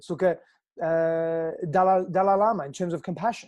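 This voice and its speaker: Quiet surrounds this voice. It carries an Australian accent. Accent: Australian, noticeable. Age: 30s. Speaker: personal growth coach. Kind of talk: podcast interview.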